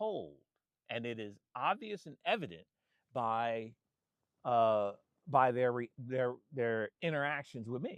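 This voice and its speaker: This man has an American accent. He speaks at a very slow pace. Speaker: photographer and vlogger. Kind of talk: casual monologue. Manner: halting, many repetitions and restarts.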